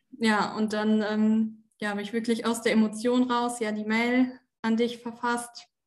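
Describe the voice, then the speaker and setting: A woman talks at a fairly slow pace. Her intonation is flat and monotone. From Germany, Osnabrück (Lower Saxony). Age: 20s. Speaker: former coaching client. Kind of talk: interview testimony. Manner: hesitant, many fillers.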